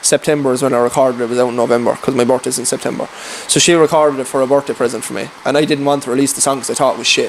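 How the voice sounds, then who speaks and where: A man speaks very fast with a rural Irish accent at medium pitch. Background noise is noticeable. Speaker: farm worker and singer-songwriter. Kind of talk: casual chat. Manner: animated.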